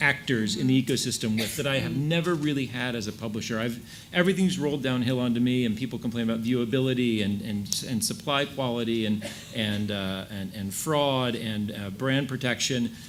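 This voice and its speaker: Against noticeable background noise, a man with an American accent speaks at medium pitch and a moderate pace with ordinary pitch variation. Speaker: ad tech industry panelist. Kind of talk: panel discussion.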